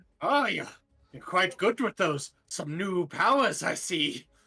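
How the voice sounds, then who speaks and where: At a fairly slow pace and a middle pitch, the speaker performs a put-on character voice. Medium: actual play. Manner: cocky, teasing.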